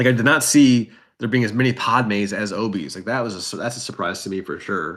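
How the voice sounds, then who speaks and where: Speaking at a very fast pace with a Wisconsin accent, a man holds a medium pitch with ordinary pitch variation. The recording is very clean, the background silent. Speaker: esports/card game caster. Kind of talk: live commentary.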